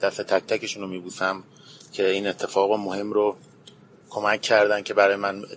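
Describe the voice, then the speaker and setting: A man speaks at a fairly slow pace in a fairly low pitch, his intonation flat and monotone. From Iran, Tehran. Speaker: barista. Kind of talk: interview.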